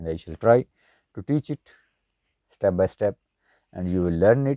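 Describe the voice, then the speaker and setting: Very deep, low male voice with a dark, mellow tone and a Pakistani accent, at a moderate pace with lively intonation and long, frequent pauses, in a dry, close sound with no echo. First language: Urdu. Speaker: language teacher. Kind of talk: tutorial.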